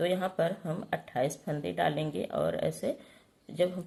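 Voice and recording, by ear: A woman speaks at a slow pace in a dark, mellow tone with vocal fry and a slightly husky edge.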